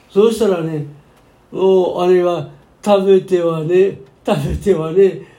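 With audible room echo, the speaker moves at a very slow pace, leaving long, frequent pauses and keeping the intonation fairly even. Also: man, high pitch for a man. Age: 90s. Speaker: pastor. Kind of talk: sermon.

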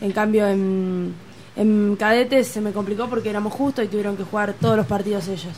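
With an Argentine accent, a woman talks at a medium pitch and fairly even intonation over noticeable background noise. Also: fairly quick pace. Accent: Rioplatense Argentine Spanish. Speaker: youth handball coach. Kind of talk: casual chat.

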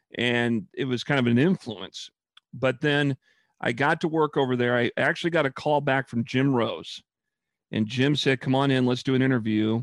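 Against a quiet background, a man speaks with an American accent at a medium pitch and moderate pace. He has an unremarkable speaking voice, with fairly even intonation and very even loudness. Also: dry, close sound with no echo. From Lincoln, Nebraska. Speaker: radio sportscaster. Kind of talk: interview.

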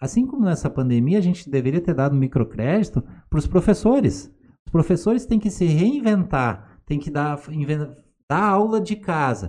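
Speaking at a moderate pace, a man uses a fairly high pitch, a dark, mellow tone and very wide pitch swings. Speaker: pharmacist and acupuncturist. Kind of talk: casual chat.

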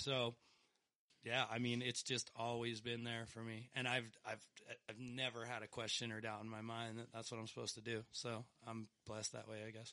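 A man's bright, sharp tone in an American accent, monotone and flat, at a moderate pace. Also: medium pitch for a man. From Pennsylvania and northern Colorado. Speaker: music producer and cellist. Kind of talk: casual chat.

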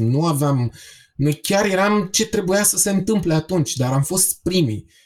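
A man talks at a moderate speed, slightly breathy, his pitch varying in an ordinary way. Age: 40s. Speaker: punk band singer. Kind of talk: casual chat.

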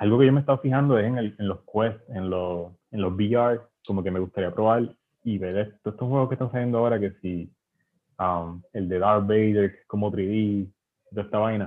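A man talks in a fairly low pitch at a moderate pace with ordinary pitch variation. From western Puerto Rico. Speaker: visual artist and illustrator. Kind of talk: casual interview. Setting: podcast recording. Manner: halting, with frequent repetitions.

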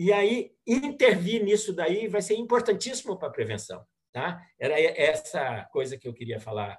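His pace is moderate. This man barely pauses at all. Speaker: gerontology channel co-host. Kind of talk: interview questions.

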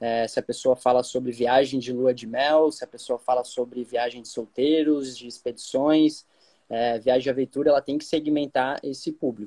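In a dry, close recording with no echo, a man of medium pitch speaks at a moderate pace in monotone, flat intonation with a dark, mellow tone. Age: 20s. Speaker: travel agency marketer and podcast host. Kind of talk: casual interview chat. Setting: Instagram live.

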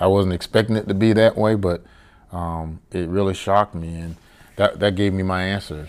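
A man speaks with a Southern US accent at a very deep, low pitch. His pace is moderate and his intonation monotone and flat. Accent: Southern US (Georgia). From US South, Savannah, Georgia. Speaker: cigar lounge owner, retired Navy chief. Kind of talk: casual interview. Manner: hesitant, many fillers.

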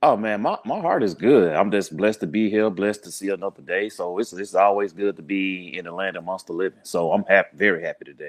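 A man's fairly low voice in a Southern US accent, very fast in pace, with ordinary pitch variation. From US South, Birmingham, Alabama. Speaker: podcaster, community organizer. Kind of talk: podcast interview. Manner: relaxed, conversational.

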